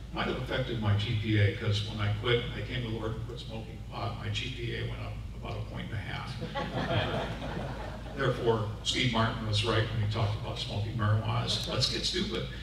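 A man with an American accent talks with hardly any pauses, over noticeable background noise and strong room echo. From Seattle. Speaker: public address announcer. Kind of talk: speech at a prayer breakfast. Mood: humorous storytelling. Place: hall.

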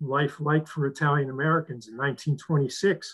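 At a fairly slow pace, a man with a fairly high pitch and fairly even intonation speaks in an unremarkable speaking voice. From New England (Western Massachusetts). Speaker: retired professor and author. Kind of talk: book talk with Q&A. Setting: video call.

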